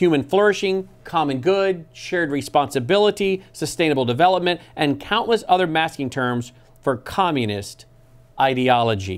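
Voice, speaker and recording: The intonation is lively. A man speaks at a moderate pace. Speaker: TV program host. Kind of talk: reading from his own book with commentary. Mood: earnest, critical. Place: studio. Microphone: lapel.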